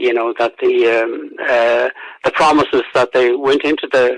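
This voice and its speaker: A man in a Roscommon accent talks at a fairly slow pace. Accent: Irish, Roscommon. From Ireland, County Roscommon. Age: 70s. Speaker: historian and author. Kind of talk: radio interview. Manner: halting, many fillers and repetitions.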